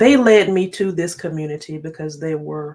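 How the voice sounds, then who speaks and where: Here is a woman with an American accent. Her pitch is fairly low. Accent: Southern drawl, noticeable when tired. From North Carolina. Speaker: tech YouTuber. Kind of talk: live stream chat.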